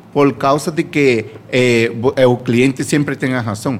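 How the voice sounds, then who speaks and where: Speaking with a Spanish accent, a man talks at a fairly slow pace and medium pitch. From Venezuela. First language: Spanish (speaking Portuguese). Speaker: bar worker. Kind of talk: casual chat. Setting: radio studio. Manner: halting.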